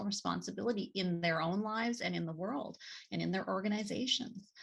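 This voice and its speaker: A woman speaks at a fairly quick pace with vocal fry and ordinary pitch variation. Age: 60s. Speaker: nonprofit executive and author. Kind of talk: interview. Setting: podcast interview. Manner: halting, many fillers.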